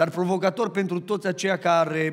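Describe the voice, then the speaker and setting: Over a quiet background, the intonation stays fairly even. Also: man. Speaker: pastor. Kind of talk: sermon. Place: church. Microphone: headset.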